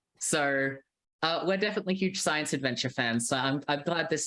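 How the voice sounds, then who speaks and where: Someone with an Australian accent speaks at a moderate pace over a quiet background. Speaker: games writer. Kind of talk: casual chat.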